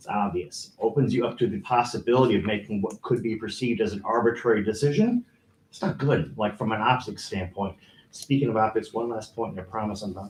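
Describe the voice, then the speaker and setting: Somewhat breathy and medium in pitch, a man talks at a fairly quick pace with ordinary pitch variation and big swings in loudness. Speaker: resident giving public comment. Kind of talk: public comment at council meeting. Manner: fast.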